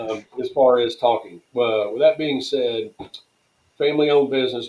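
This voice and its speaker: A man speaks with a Tennessee accent. His intonation stays fairly even. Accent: Southern US (Tennessee). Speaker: tent company president. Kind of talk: podcast interview. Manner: fast.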